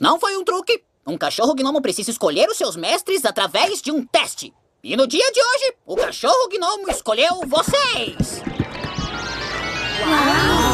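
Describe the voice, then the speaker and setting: Someone uses a put-on character voice at a moderate pace. Faint music plays in the background. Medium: fan dub. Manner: theatrical, showman-like.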